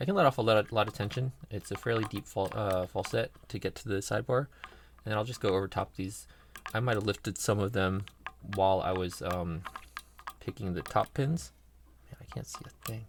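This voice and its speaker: Over noticeable background noise, a man talks at a fairly quick pace in a fairly low pitch with ordinary variation. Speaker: lock picking hobbyist. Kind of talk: tutorial. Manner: soft-spoken; halting.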